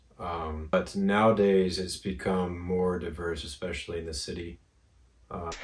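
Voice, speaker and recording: A man talks very slowly in a very deep, low voice that is somewhat breathy, with monotone, flat intonation. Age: 30s. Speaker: host's husband. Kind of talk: casual Q&A chat.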